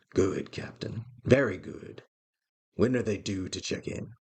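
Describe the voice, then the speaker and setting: A man puts on a growling character voice at a fairly low pitch. He goes at a fairly slow pace, with big swings in loudness. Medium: actual play. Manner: curt, cold, growling.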